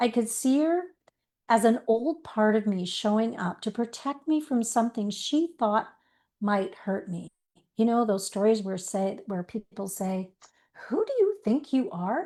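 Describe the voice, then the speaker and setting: A woman speaks fairly slowly in a fairly high voice with lively intonation against a quiet background. Her tone is warm, dark and mellow. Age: 60s. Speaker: life coach. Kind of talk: online masterclass talk. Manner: warm, conversational storytelling.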